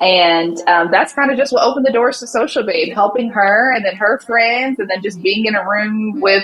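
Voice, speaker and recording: Over noticeable background noise, a woman with an Alabama accent speaks in an animated tone at a fairly high pitch. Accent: Southern US (Alabama). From US South, Montgomery, Alabama. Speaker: social media marketing agency owner. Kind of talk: interview.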